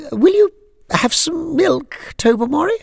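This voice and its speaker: A man uses a put-on character voice, pitched extremely high. It sounds strained and squeaky at a fairly slow pace. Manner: strained, awkward.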